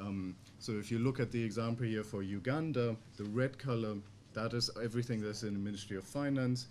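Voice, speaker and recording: A man with a German accent, fairly even intonation and a fairly quick pace, over light background noise. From Germany. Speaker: think tank researcher; conference speaker. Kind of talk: conference presentation; lecture. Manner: halting. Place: meeting room. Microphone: podium.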